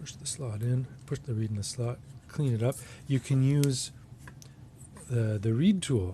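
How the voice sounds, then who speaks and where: A man's dark, mellow, somewhat breathy voice at medium pitch, with ordinary pitch variation, a fairly slow pace and long, frequent pauses. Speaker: harmonica customizer. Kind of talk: tutorial demonstration. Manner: casual, hesitant.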